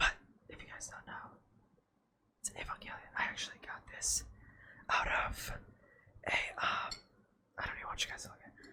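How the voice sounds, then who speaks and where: Whispering at a fairly quick pace, broken by long, frequent pauses, over noticeable background noise. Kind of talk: asmr whispered rambling. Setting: home recording with air conditioner hum. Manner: whispered.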